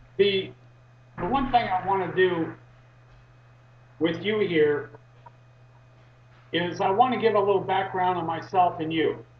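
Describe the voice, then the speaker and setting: A man's high-pitched voice at a fairly slow pace, with ordinary pitch variation, long and frequent pauses, and noticeable background noise. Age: 60s. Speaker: activist. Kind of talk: interview. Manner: halting, many fillers.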